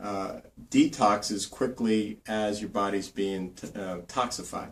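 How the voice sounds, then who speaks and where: A man talks very slowly in an American accent, his pitch fairly low. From New Jersey. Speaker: naturopathic doctor. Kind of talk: health tips tutorial. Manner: casual, with many fillers.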